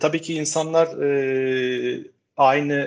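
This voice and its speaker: A male voice sits at a medium pitch. The intonation holds fairly even throughout. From Turkey, Istanbul. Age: 40s. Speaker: educational technology specialist. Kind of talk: casual interview. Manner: frequent hesitation fillers.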